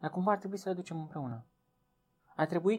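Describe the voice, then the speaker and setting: The recording is very clean, and the background is silent. A man talks with lively intonation. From Romania, Transylvania (village of Viștea). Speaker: biologist, teacher and author. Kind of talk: interview.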